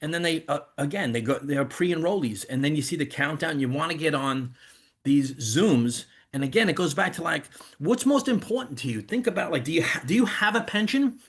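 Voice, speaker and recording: Here a man talks in a New York accent, fairly high in pitch. He moves at a fairly quick pace with very wide pitch swings. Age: 50s. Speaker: network marketing leader. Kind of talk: sales pitch on video call. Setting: video call. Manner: animated.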